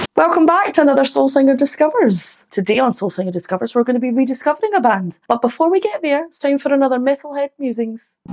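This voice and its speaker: Upbeat and very fast with hardly any pauses, a woman with a Scottish accent speaks at a high pitch with very wide pitch swings. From Scotland. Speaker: singer. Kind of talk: casual talk to camera.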